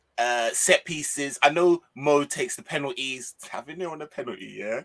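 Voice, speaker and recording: A northwest English accent at a moderate pace, with ordinary pitch variation, big swings in loudness and a dry, close sound with no echo. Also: man, fairly high pitch for a man. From northwest England. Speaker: football YouTuber. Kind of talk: casual chat.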